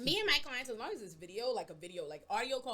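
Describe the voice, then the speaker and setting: Talking at a very fast pace, a woman sounds animated, her intonation lively. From Bahamas. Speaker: public defender attorney. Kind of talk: casual chat.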